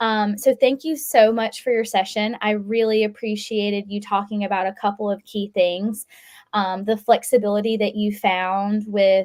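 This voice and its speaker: Here a woman speaks at a moderate pace. Her intonation stays fairly even. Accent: Southern US. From US South, South Carolina. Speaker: customer success staff, event facilitator. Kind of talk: webinar Q&A facilitation.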